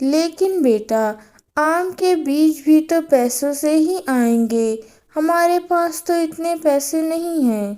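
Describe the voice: Doing a cartoonish character voice at an extremely high pitch, a woman speaks at a very slow pace.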